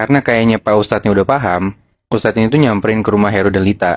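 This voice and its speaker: A plain, everyday voice from a man, fairly low in pitch, at a fairly quick pace with fairly even intonation. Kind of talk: casual storytelling of a horror tale to friends.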